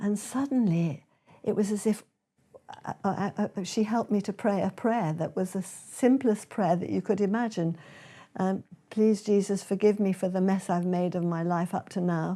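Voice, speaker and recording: Her British accent carries a dark, mellow tone. The woman speaks at medium pitch with ordinary pitch variation. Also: moderate pace, very clean recording, silent background. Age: 80s+. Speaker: speaker and author. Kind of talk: testimony.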